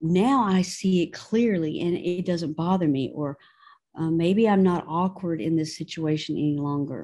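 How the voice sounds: A woman speaks at a moderate pace with a low pitch. Her tone is dark and mellow. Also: ordinary pitch variation.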